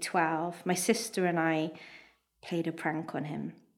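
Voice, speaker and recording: With a fairly low pitch and a warm tone, a woman speaks at a fairly slow pace. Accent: Welsh. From Wales. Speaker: national poet, performing her own piece. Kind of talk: literary audiobook-style reading of her own prose piece, live at a festival. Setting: live festival event with audience. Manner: warm, wry, measured storytelling pace, nostalgic.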